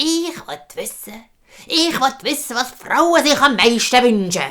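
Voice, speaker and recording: Using a put-on character voice, a woman speaks at a fairly slow pace in a high pitch, with lively intonation and big swings in loudness. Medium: read story. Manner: calm, knowing, firm.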